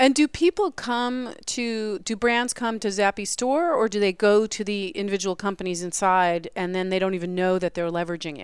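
A woman talks at a moderate pace in an ordinary speaking voice, medium in pitch with ordinary pitch variation and hardly any pauses. The recording is very clean, with a silent background. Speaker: radio host. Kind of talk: casual interview. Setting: conference, live broadcast.

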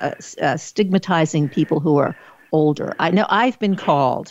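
A woman with a normal speaking voice talks at a moderate pace with ordinary pitch variation over a quiet background. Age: 60s. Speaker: talk show host and social worker. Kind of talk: interview.

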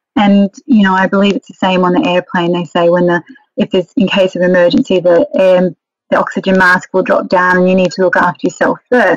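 With an Australian accent, a woman speaks at a fairly quick pace and a medium pitch, with ordinary pitch variation, very even loudness, and a dry, close sound with no echo. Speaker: etiquette and modelling trainer. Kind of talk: interview.

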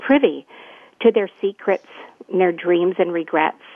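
A moderate pace, ordinary pitch variation, and a Canadian accent. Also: woman. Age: 60s. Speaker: retired nurse and wellness coach. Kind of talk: interview.

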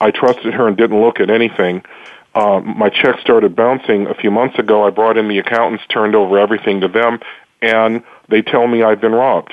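A man at a medium pitch, with very even loudness, a fairly quick pace and a flat, monotone delivery. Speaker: prosecutor. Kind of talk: interview answers.

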